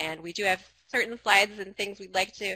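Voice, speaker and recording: A woman's voice has a bright, sharp tone and fairly even intonation. Light background noise can be heard. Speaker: presenter. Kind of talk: webinar presentation opening.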